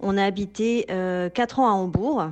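A woman with an unremarkable speaking voice talks in a medium pitch with ordinary pitch variation. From Toulouse, southern France. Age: 40s. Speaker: expatriate mother. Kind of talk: testimony.

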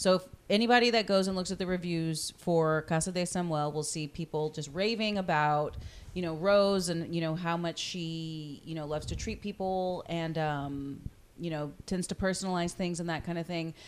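Speaking at a moderate pace with an American accent, a woman has a fairly low pitch and ordinary pitch variation. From Corpus Christi, Texas. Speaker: podcast host. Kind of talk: casual interview conversation. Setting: on location at the venue.

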